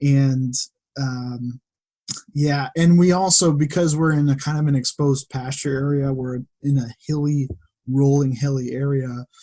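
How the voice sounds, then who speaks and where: A man with an American accent speaks fairly slowly in a normal speaking voice, fairly high in pitch and with fairly even intonation. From western Massachusetts. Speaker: data analyst and farmer. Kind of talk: casual interview chat.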